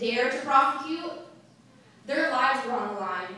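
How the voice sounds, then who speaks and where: A woman speaks in a raised, projected voice at a high pitch and a fairly quick pace. Noticeable background noise sits behind her. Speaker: anti-domestic-violence activist. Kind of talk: public speech.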